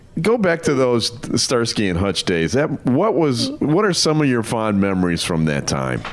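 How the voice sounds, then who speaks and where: A man talks with very wide pitch swings and very even loudness. Noticeable background noise sits behind him. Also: medium pitch for a man, moderate pace. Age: 50s. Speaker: podcast host. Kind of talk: interview.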